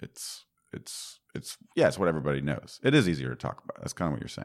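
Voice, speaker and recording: A man speaks with vocal fry. The recording is very clean, the background silent. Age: 30s. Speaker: software developer podcast host. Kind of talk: casual tech chat.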